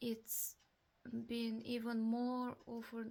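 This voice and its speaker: A woman talks at a very slow pace. She has a Russian accent. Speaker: vlogger. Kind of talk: personal testimony. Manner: halting.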